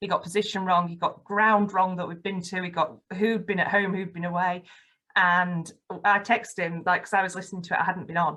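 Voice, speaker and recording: Speaking with a Yorkshire accent, the voice moves at a fairly quick pace with monotone, flat intonation. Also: woman, medium pitch for a woman. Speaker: football fan and campaign ambassador. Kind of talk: podcast interview, personal testimony. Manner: articulate, radio-trained delivery.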